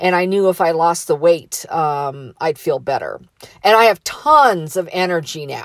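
Ordinary pitch variation marks this fairly slow delivery in a normal speaking voice. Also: woman, fairly low pitch for a woman. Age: 50s. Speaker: motivational podcaster. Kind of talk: motivational monologue. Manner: casual, conversational.

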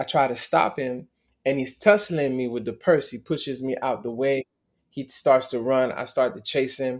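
With a normal speaking voice, a man talks at a moderate pace and a medium pitch with ordinary pitch variation, in a very clean recording with a silent background. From Miami, US (born in Montreal). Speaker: motivational speaker. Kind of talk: interview testimony.

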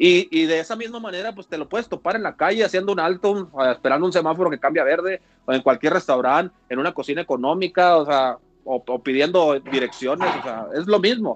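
This man's voice is high in pitch with lively intonation. He talks at a fairly quick pace. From Mexico, Mexicali (Baja California). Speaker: former professional baseball pitcher. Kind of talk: casual chat.

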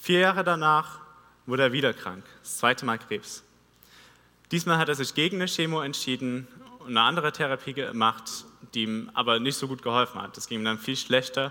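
In an ordinary speaking voice, the speaker talks at a fairly quick pace with ordinary pitch variation and big swings in loudness. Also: man, medium pitch for a man. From Vogtland, Saxony, Germany. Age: 20s. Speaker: theology student preacher. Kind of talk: sermon. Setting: church stage.

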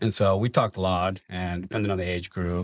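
A man's very deep, low voice in a Venezuelan accent, on a very clean recording with a silent background. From Venezuela (Maracaibo). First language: Spanish. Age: 30s. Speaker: company finance manager. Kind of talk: casual interview.

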